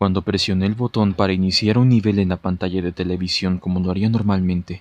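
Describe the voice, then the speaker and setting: Very fast and monotone, a man with a very deep, low pitch speaks in a dry, close sound with no echo. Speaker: narrator. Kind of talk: read horror story narration.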